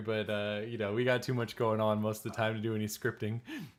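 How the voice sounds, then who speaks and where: Against noticeable background noise, a man with an American accent talks fairly quickly at a medium pitch. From California. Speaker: travel vlogger. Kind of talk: live stream chat.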